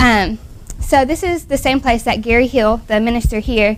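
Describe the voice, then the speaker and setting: This is a woman speaking with a fairly high pitch. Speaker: returned missionary speaker. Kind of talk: talk at a church ladies' day.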